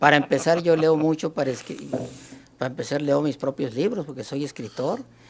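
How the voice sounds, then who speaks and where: This man's pitch is fairly high, his pace fairly quick, and his pitch variation ordinary. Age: 60s. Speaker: writer and historian. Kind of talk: debate. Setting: live stream. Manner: halting.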